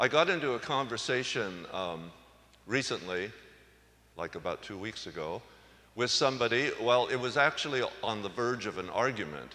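Here a man with an unremarkable speaking voice talks at a moderate pace, his medium pitch carried by lively intonation. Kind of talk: homily at Mass, conversational and teaching. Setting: church. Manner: conversational, plainspoken; gently humorous, reflective.

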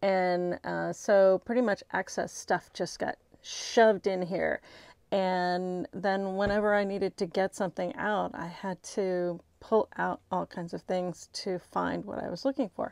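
A woman speaks at a fairly slow pace with fairly even intonation. The sound is dry with no echo, and the background is quiet. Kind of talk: casual vlog chat. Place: home room. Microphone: phone near.

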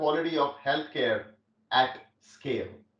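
Against a quiet background, a man's voice comes through with audible room echo. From India. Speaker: tech company executive. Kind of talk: keynote speech. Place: home room.

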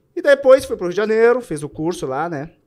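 This man speaks with a Gaúcho Brazilian accent. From southern Brazil. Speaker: army soldier and butcher shop owner. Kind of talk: casual chat. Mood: reflective, nostalgic. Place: studio. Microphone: studio mic.

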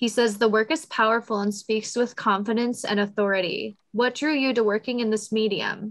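At a moderate pace with hardly any pauses, a woman speaks at a fairly high pitch and very even loudness against a quiet background. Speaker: museum public programs manager and event moderator; event moderator. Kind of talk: event moderation. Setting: video call. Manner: friendly, upbeat. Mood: polite, warm. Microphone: video call.

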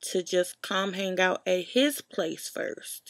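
The background is quiet while a woman talks. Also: dry sound with no echo. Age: 20s. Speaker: YouTube vlogger. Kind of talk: casual storytelling vlog. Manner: informal, many fillers. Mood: animated, exasperated storytelling. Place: home room. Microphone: webcam.

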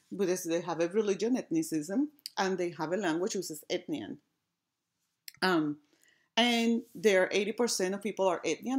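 In a very clean recording with a silent background, a woman with an American accent speaks at a fairly quick pace in a plain, everyday voice, with medium pitch and lively intonation. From outside the United States. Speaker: assistant professor of design. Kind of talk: academic conference talk.

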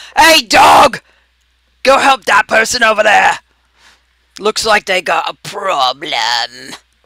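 A man shouts in a put-on character voice pitched high for a man. He talks at a fairly slow pace with long, frequent pauses. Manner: loud, commanding, calling out.

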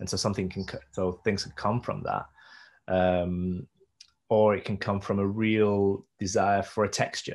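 A man's fairly low, monotone voice with flat intonation, at a fairly slow pace against a quiet background. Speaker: visual artist and performance maker. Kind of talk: interview conversation. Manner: hesitant, many fillers and repeats. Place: home room. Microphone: video call.

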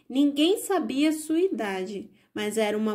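A woman speaks at a fairly slow pace in a calm, gentle tone. Her high pitch moves in very wide swings. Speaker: audiobook narrator. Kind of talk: bedtime story reading aloud. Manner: calm, gentle, storytelling pace; expressive, changes tone for characters.

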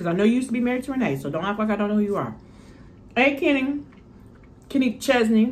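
A woman speaks very fast with a fairly high pitch and lively intonation. Her speech has long, frequent pauses. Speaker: mukbang youtuber; mukbang vlogger. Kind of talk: casual chat. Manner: rambling. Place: home room. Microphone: phone near.

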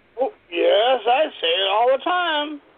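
Pitched extremely high for a man, his voice has vocal fry and big pitch swings. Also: fairly slow pace.

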